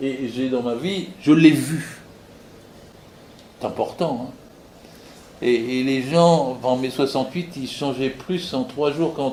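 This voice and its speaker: A man with a fairly high pitch is heard in a space with audible room echo. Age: 80s+. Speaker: retired labour inspector and political activist. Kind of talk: political speech at a public meeting. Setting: meeting hall with audience. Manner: animated; halting with repetitions.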